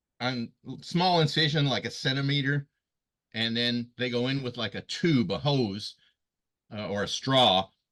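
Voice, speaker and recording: This man's voice sits at a medium pitch with ordinary pitch variation. He talks at a fairly slow pace with long, frequent pauses. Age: 60s. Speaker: stage actor. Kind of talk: casual chat. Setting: video call. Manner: halting.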